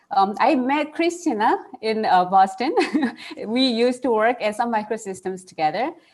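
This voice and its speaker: With a Korean accent, a woman speaks at a moderate pace and a fairly high pitch, her pitch swinging very widely. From South Korea, Seoul. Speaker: computer science researcher. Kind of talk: panel discussion.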